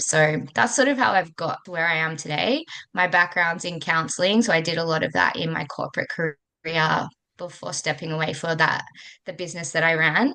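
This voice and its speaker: Talking at a fairly quick pace, a woman with an Australian accent has a bright, sharp tone. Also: fairly low pitch for a woman, ordinary pitch variation. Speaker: coach for working mothers. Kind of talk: interview.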